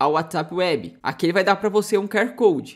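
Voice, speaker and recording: A Brazilian accent in a very clean recording with a silent background. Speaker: tech tutorial youtuber. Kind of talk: tutorial.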